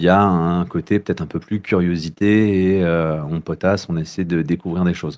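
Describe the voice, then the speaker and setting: A man with a very deep, low pitch and a dark, mellow tone speaks fairly slowly with ordinary pitch variation. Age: 30s. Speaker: youth social worker. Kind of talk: casual interview. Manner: halting, many hesitations.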